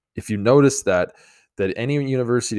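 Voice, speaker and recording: On a very clean recording with a silent background, a man talks using ordinary pitch variation. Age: 20s. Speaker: podcast host and life coach. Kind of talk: solo monologue podcast. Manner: halting, many fillers.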